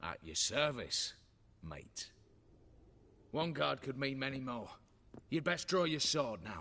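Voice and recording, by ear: A man puts on a character voice at medium pitch with big pitch swings. He speaks slowly in a bright, sharp tone.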